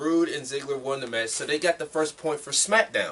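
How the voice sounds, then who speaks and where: Noticeable background noise sits under a man speaking at a fairly high pitch. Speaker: wrestling podcast host. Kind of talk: casual chat.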